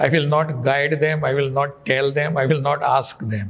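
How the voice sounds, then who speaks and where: At a moderate pace, the speech comes out somewhat breathy. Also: man. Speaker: state governor, politician. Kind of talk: interview answer. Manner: soft-spoken.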